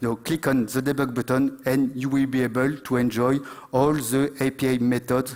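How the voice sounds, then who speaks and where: A man speaks with a French accent at a moderate pace. His pitch sits in the medium range. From France. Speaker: conference speaker, IT company founder. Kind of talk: conference talk. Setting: stage with audience. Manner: halting, many fillers.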